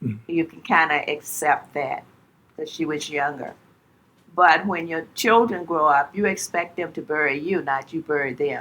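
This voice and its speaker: A woman with a Southern US accent speaks at a moderate pace in a fairly low pitch, her bright, sharp tone carrying ordinary pitch variation. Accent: Southern American. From Charlottesville, Virginia. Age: 80s+. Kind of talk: interview answer.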